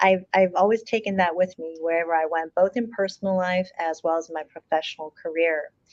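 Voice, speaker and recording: Her Korean accent comes through as a woman speaks with fairly even intonation in a dry, close sound with no echo. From South Korea, then US from age eight. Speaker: water agency CEO. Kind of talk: interview. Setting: studio.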